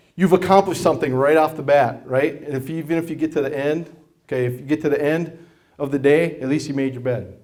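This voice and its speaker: Very fast speech from a man. His pitch is fairly high and his intonation fairly even. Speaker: martial arts instructor and school owner. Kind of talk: presentation to an audience. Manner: loud; conversational, with many fillers.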